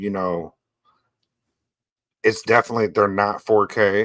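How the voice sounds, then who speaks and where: The voice moves at a fairly slow pace in a dry, close sound with no echo. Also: man. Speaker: podcast co-host reviewing pinball. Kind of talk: casual chat. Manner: stutters often.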